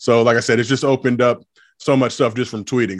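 Against a quiet background, a man with an American accent speaks very fast in a monotone, flat intonation. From Los Angeles, US. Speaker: social media personality, former college basketball player. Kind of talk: casual interview chat.

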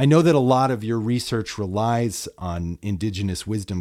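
At a moderate pace, a man with a normal speaking voice talks at a fairly low pitch. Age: 40s. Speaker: podcast host. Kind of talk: casual interview. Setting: remote recording.

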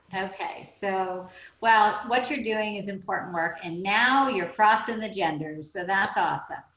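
Heard with audible room echo, a woman with an American accent speaks at a fairly slow pace in a bright, sharp tone, her pitch medium and its variation ordinary. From Oklahoma. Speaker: podcast host and business mentor. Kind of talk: interview.

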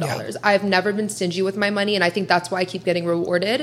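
Noticeable background noise surrounds a woman with an American accent talking at medium pitch. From US Midwest (Columbus, Ohio). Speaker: social media influencer. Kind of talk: casual interview chat.

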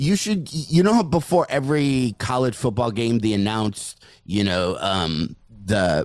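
With lively intonation, a man speaks at a fairly low pitch. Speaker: stand-up comedian. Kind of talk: casual chat. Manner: joking, self-deprecating.

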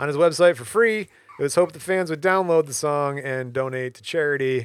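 The background is silent on a very clean recording. A man does the talking. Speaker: podcast host. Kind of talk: casual chat with scripted reading. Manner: jokey, laughs often, reads in a mock English accent.

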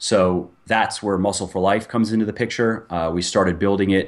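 A man speaks at a moderate pace in an ordinary speaking voice. His pitch sits fairly low. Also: quiet background. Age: 30s. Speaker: fitness author and supplement company owner. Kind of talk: interview.

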